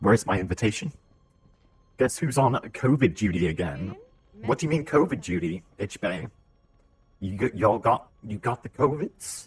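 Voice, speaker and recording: With a British accent, a man speaks at a moderate pace in a fairly low, somewhat breathy voice, using very wide pitch swings and long, frequent pauses. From Britain. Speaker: video game streamer. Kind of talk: live gameplay stream chat. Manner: casual, chatty.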